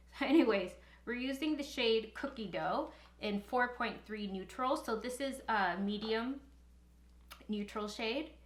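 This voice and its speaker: Speaking at a fairly slow pace, a woman uses a fairly high pitch with ordinary pitch variation. Audible room echo surrounds her voice. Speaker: beauty youtuber and makeup artist. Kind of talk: makeup review tutorial. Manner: occasionally halting, mumbles words; casual.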